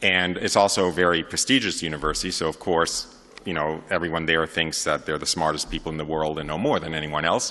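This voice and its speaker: This man talks at a very fast pace in a New York accent, his pitch very deep and low. His tone is bright and sharp, and his intonation stays fairly even. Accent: New York area American. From New York area, US. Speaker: convert giving testimony. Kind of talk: testimony talk to an audience. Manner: many fillers and hesitations.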